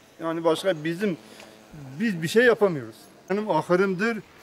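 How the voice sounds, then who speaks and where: Over noticeable background noise, a man speaks at a high pitch with ordinary variation. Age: 60s. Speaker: farmer. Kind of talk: news interview. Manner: halting.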